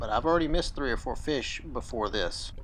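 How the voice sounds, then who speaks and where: A man with an Alabama accent at a fairly quick pace. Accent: Southern US (Alabama) pronunciation. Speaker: fishing YouTuber. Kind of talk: product review and fishing vlog. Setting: outdoors on a creek. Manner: casual, conversational.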